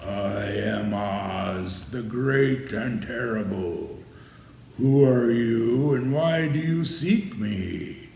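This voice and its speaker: A man uses a put-on character voice at a medium pitch, talking at a very slow pace with a slight echo. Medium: read story. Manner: stern, imposing.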